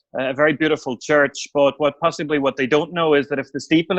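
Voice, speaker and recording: A man's very fast, flat, monotone speech in a Northern Irish accent, fairly high in pitch, with a dry, close sound and no echo. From Northern Ireland, County Tyrone (Omagh). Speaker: newspaper editor and author. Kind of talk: podcast interview. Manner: hesitant, many fillers and repeats.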